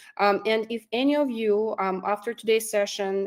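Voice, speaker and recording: A woman speaks with a non-native accent at a fairly high pitch. Her pace is moderate and her pitch variation ordinary. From immigrant to Canada. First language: not English. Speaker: recruiter and career coach. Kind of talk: online workshop presentation. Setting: online workshop with chat. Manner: hesitant, many fillers.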